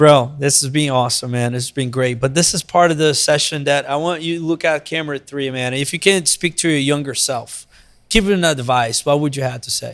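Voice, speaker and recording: Speaking at a fairly quick pace with hardly any pauses, a man uses a fairly high voice with ordinary pitch variation. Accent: Brazilian. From Brazil. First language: Portuguese. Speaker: podcast host. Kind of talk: podcast interview. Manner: animated.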